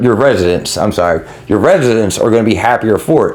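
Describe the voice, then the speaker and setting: A man rattles along at a very fast pace with lively intonation, noticeable background noise behind him. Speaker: gaming YouTuber. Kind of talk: gameplay tutorial.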